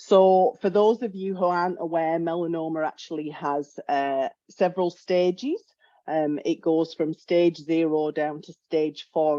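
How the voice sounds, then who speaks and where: Fairly low-pitched woman with a British accent, a dark, mellow tone, fairly even intonation and a fairly slow pace, in a dry, close sound with no echo. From UK. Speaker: health economics researcher. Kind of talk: webinar presentation. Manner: hesitant, with fillers.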